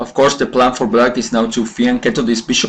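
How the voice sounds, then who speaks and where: A man speaks at a medium pitch with fairly even intonation. Noticeable background noise sits behind him. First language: not English. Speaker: chess commentator. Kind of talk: game analysis commentary. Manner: halting, many fillers and self-corrections.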